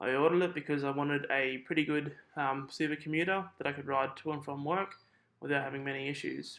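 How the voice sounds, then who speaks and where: At a very fast pace, a man talks in a fairly high pitch with fairly even intonation. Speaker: cyclist, bike commuter. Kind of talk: product review talk to camera. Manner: deadpan.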